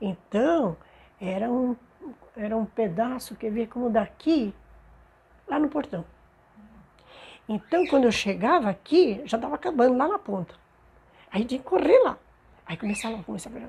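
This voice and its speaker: A woman's fairly high, dark and mellow voice with lively intonation, a moderate pace, and long, frequent pauses. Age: 70s. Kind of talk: oral history interview answer.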